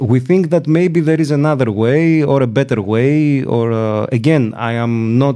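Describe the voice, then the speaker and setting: A man with a Greek accent speaks at a fairly slow pace in a medium pitch, his dark, mellow tone carried by lively intonation. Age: 40s. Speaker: law professor. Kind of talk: interview. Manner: hesitant, many fillers.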